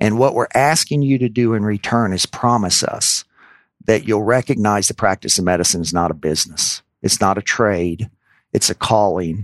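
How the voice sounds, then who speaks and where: A man with an American accent and an unremarkable speaking voice talks at a moderate pace and fairly low pitch with ordinary pitch variation. The sound is dry and close with no echo, against a quiet background. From US South, New Orleans, Louisiana. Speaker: physician and healthcare executive. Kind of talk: interview.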